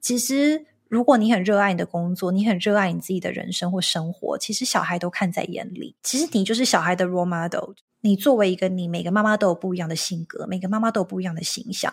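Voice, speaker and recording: The speaker is somewhat breathy and talks at a very fast pace. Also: woman, medium pitch for a woman, ordinary pitch variation. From Taiwan. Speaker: marketing executive and entrepreneur. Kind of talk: interview.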